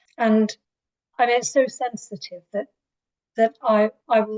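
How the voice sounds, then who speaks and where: A woman with an English accent, somewhat breathy and at a fairly slow pace. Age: 60s. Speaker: writer. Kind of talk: interview. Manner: hesitant.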